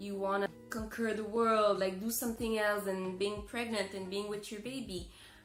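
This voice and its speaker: A woman speaks at a medium pitch over music in the background. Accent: French-Canadian. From Montreal, Canada. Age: 20s. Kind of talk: casual talk to camera.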